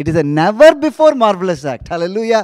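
Against a quiet background, a man talks very fast in a dry sound with no echo. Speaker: preacher. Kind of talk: sermon with prayer, delivered live online to a congregation. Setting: live online church service. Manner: animated, fervent, repeating phrases with frequent 'hallelujah' call-outs; rhythmic, emphatic, building each point through repetition. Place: church. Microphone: handheld.

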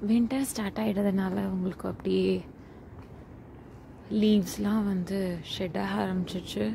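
A woman speaks quietly over light background noise. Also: dry sound with no echo. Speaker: travel vlogger. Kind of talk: casual walking vlog narration. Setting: outdoors. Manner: quiet, low volume.

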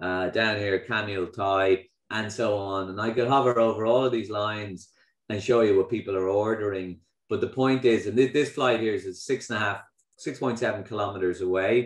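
In a quiet background with audible room echo, a man with an Irish accent speaks at a fairly low pitch with fairly even intonation. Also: moderate pace. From Ireland. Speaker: company founder and CEO. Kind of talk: keynote talk. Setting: online video event with audience. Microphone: video call.

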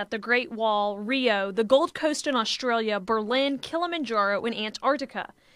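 A woman speaks with lively intonation against a quiet background, the sound dry with no echo. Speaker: TV news reporter. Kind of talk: TV news report narration. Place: studio. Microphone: lapel.

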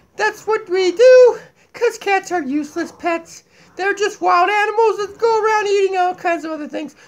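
This man uses a cartoonish character voice pitched extremely high. He keeps a moderate pace. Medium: puppet. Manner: goofy, zany.

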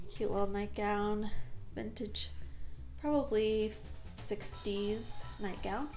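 Faint music in the background behind a woman's voice. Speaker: thrift haul vlogger. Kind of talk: casual vlog chat. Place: home room. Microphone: phone near.

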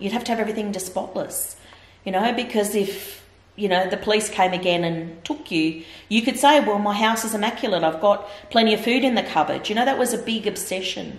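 A woman's voice with ordinary pitch variation, a fairly quick pace and audible room echo. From Victoria, Australia. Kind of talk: interview answer. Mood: earnest, reflective. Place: home room.

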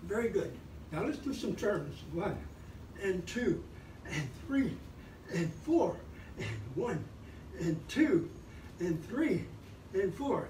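Long, frequent pauses break up a man's very slow speech, with light background noise and audible room echo. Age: 80s. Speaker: fitness instructor. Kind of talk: exercise class instruction. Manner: animated; encouraging. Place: home room. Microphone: camera far.

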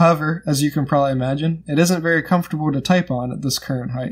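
At a fairly quick pace, a man speaks with fairly even intonation. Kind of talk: tutorial. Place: home room. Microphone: phone near.

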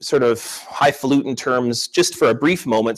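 Against a quiet background, a man with a fairly high pitch talks in an animated tone at a moderate pace. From Manitoba, Canada (Anishinaabe, north of Winnipeg). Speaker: professor of Native Studies. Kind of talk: keynote lecture. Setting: conference stage with audience, streamed online. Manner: animated, conversational with filler words. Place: meeting room. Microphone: podium.

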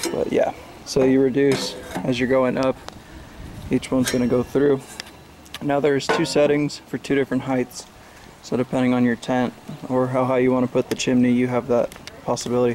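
A man talking at a fairly quick clip in a flat monotone, with noticeable background noise. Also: very even loudness. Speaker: camper reviewing a stove. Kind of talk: tutorial. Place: garden. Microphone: phone near.

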